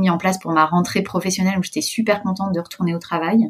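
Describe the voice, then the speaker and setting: Fairly even intonation from a woman, her voice somewhat breathy. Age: 30s. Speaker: entrepreneur and mother. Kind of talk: personal testimony interview.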